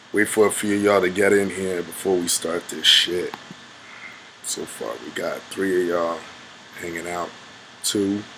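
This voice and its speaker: A man speaks in a very deep, low voice with a monotone, flat intonation. He pauses long and often, and there is noticeable background noise. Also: moderate pace. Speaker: livestream host. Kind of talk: casual livestream chat. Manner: casual, hesitant with many ums.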